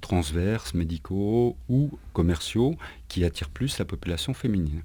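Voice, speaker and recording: A man's dark, mellow voice at a very slow pace with very wide pitch swings, on a very clean recording with a silent background. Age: 50s. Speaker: recruitment and careers manager. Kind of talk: radio interview. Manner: hesitant, many fillers.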